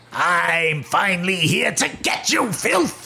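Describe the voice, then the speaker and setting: A raspy, put-on character voice at a middle pitch moves at a fairly slow pace against clear background noise. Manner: menacing, growling.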